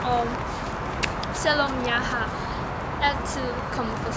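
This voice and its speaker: Over loud background noise, a woman with a Chinese accent speaks at a very slow pace. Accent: Chinese-accented Danish. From northeast China. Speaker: university student. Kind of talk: personal tribute. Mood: warm, a bit emotional. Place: garden.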